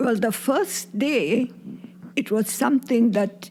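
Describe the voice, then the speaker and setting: Noticeable background noise sits behind this woman's fairly high voice. She talks at a fairly slow pace with fairly even intonation. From Burma. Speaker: grandmother, war refugee. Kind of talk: interview.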